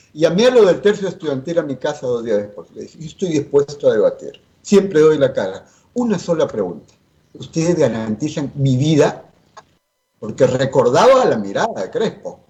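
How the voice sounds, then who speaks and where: A man's voice carries vocal fry. It shows very wide pitch swings and big swings in loudness. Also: fairly high pitch for a man, moderate pace. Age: 60s. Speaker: politician. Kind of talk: interview. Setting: at home, remote.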